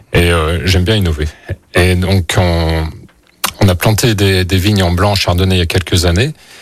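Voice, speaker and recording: A man with a very deep, low pitch speaks at a moderate pace, taking long, frequent pauses. His loudness is very even and his intonation fairly even, with noticeable background noise. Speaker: winemaker. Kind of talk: radio interview. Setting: studio.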